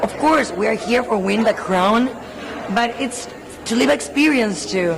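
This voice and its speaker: Over noticeable background noise and audible room echo, a woman with a fairly high voice speaks at a moderate pace with lively intonation. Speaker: beauty pageant contestant. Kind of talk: press interview. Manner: animated.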